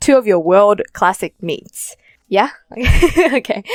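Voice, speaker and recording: A woman with an Australian accent and very wide pitch swings, in a dry, close sound with no echo. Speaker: podcast host. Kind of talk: interview podcast. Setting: Zoom call.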